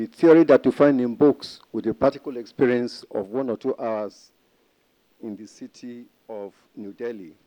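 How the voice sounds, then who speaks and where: At a moderate pace, a man of medium pitch speaks in a dark, mellow tone with ordinary pitch variation and a dry, close sound lacking echo. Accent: African. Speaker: history professor. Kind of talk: conference presentation. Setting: conference panel with audience.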